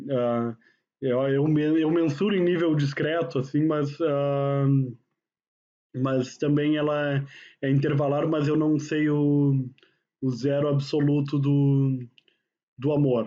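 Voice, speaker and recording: A man speaks at a very slow pace, with long, frequent pauses. His intonation is a flat monotone and his loudness stays very even. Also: fairly high pitch for a man. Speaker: university professor. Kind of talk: lecture. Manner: casual, conversational.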